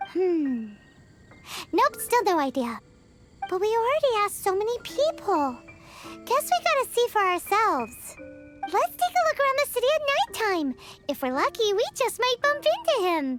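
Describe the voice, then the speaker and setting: Over music in the background, an extremely high-pitched put-on character voice swings very widely in pitch and takes long, frequent pauses. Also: moderate pace. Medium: video game. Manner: lively, chatty.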